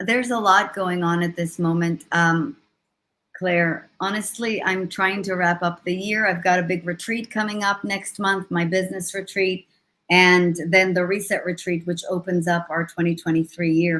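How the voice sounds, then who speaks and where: A woman with an Israeli accent speaks at a moderate pace with fairly even intonation. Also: medium pitch for a woman. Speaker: leadership coach and motivational speaker. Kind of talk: interview on a live stream. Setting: live video stream.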